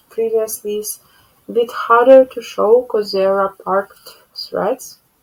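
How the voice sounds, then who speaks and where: Speaking at a fairly slow pace, a woman with a Ukrainian accent has a fairly high pitch. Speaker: cross-stitch vlogger. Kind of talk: casual show-and-tell vlog. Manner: halting.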